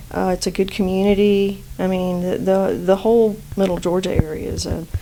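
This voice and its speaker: In a slight Southern US accent, the speaker keeps a moderate pace with monotone, flat intonation. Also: woman, medium pitch for a woman. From South Florida, Cuban family. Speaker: acupuncturist and physician. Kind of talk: podcast interview. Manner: halting, many fillers.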